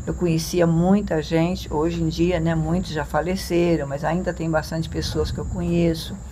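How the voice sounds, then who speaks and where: Noticeable background noise fills the recording. A woman's voice carries an audible room echo. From Brazil, Minas Gerais (Muriaé area). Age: 70s. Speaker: interviewee, longtime local resident. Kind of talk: interview reminiscence. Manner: halting, with repetitions.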